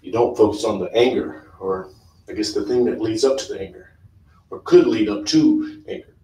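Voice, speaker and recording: A man talks at a moderate pace, his loudness swinging widely. Audible echo from the room surrounds his voice. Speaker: yoga instructor. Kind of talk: guided yoga class with talk. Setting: live stream. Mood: calm, soothing. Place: home room. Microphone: camera far.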